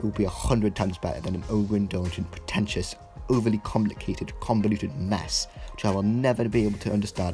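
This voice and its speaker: A man's fairly low voice at a very fast pace, with music in the background. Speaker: TV episode reviewer. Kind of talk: critical video essay narration. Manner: stammers at times.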